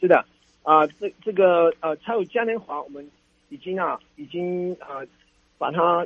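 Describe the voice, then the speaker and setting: Long, frequent pauses break up a man's high-pitched, fairly slow speech, which has ordinary pitch variation and big swings in loudness. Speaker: city tourism official. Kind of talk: radio interview. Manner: halting, many fillers.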